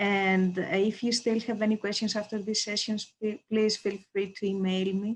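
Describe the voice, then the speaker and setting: A woman with a Greek accent speaks in a monotone, flat way against a quiet background. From Greece. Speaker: professor. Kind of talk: self-introduction at online open house.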